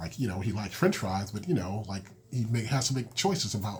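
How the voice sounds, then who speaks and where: Here a man talks at a fairly quick pace with lively intonation. His voice is somewhat breathy. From Massachusetts, Springfield. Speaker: podcast host, school counselor and children's author. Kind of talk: podcast monologue. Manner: casual with many fillers.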